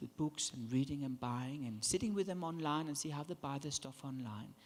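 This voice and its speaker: Speaking in an animated tone, a man delivers his words with lively intonation. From Denmark. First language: Danish. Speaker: branding consultant. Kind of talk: keynote speech. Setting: conference stage with audience.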